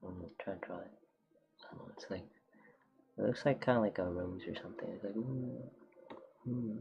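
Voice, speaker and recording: Noticeable background noise sits behind a man speaking at a fairly quick pace, at medium pitch with ordinary pitch variation. His loudness swings widely, and he takes long, frequent pauses. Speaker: streamer and artist. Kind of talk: casual livestream chat while drawing. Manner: halting, many fillers.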